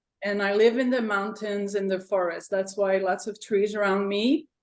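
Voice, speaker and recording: A woman with a French-Canadian accent. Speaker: art teacher. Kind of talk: casual chat.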